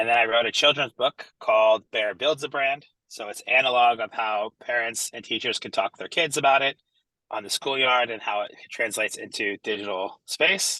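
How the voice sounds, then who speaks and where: A man's medium-pitched voice with an American accent, bright and sharp in tone, ordinary pitch variation, big swings in loudness, and a dry, close sound with no echo. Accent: American, noticeable. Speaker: entrepreneur and branding speaker. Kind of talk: online presentation. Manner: fast; energetic, casual.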